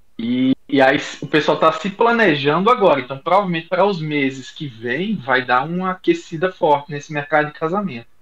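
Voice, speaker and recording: Someone with a northeastern Brazilian accent speaks at a fairly quick pace with lively intonation and hardly any pauses. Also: man, fairly high pitch for a man. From Rio Grande do Norte, Brazil. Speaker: doctor, gynecologist and obstetrician. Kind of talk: casual chat.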